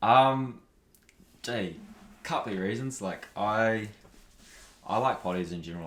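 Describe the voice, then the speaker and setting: A man with a New Zealand accent and ordinary pitch variation. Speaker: podcaster and athlete. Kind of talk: casual interview chat.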